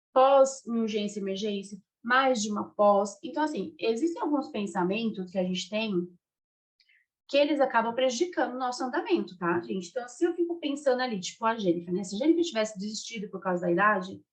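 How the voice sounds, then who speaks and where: Somewhat breathy and fairly high-pitched, a woman talks at a fairly quick pace with lively intonation. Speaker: career mentor for nurses. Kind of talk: online group mentoring talk. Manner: fast; animated.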